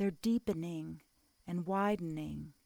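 Soothing and calm, with a dark, mellow tone, a woman speaks at a very slow pace in a dry, close sound with no echo. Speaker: meditation guide. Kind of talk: guided meditation. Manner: slow, soothing, calm and gently paced; soft-spoken, with long pauses between instructions.

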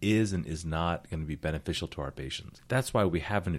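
In a very clean recording with a silent background, a man with a very deep, low voice speaks at a fairly quick pace. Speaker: podcast host, urologist. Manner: joking, relaxed.

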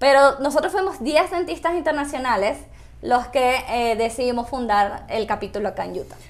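Her pitch is high for a woman, and her intonation is lively. The woman speaks at a moderate pace. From Caracas, Venezuela. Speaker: dentist. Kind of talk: interview.

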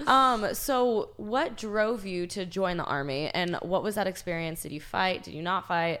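A woman at a medium pitch with lively intonation, a fairly slow pace, hardly any pauses and big swings in loudness, over noticeable background noise. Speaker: podcast host. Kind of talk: casual interview chat.

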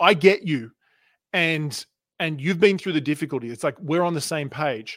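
A man speaks with an Australian accent at a fairly high pitch. The recording is very clean, with a silent background. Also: ordinary pitch variation, moderate pace. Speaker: communication and sales coach. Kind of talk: interview.

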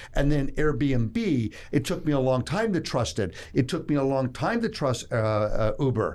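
A man speaks at a fairly slow pace with hardly any pauses, his loudness very even. His pitch sits fairly high and swings very widely. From Toronto, Canada. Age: 60s. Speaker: investment fund executive. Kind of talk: interview. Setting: studio.

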